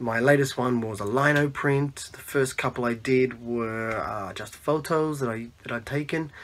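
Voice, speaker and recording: Speaking at a moderate pace with hardly any pauses, a man keeps his intonation fairly even. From Australia, Melbourne. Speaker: zine maker; podcast interviewee. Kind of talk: self-introduction monologue. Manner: halting, many fillers. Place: home room. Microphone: phone near.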